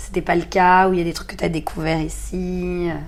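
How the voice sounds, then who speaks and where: Behind the voice there is noticeable background noise. The woman speaks at a moderate pace. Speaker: podcast host. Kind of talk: casual interview.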